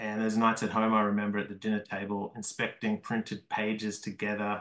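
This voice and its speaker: Fairly low male pitch, delivered at a moderate pace. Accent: Australian. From Australia, Melbourne. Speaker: comics artist and small press publisher. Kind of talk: lecture.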